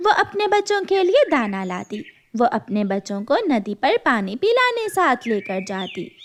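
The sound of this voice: Her pitch is fairly high and swings widely. The woman speaks at a fairly slow pace.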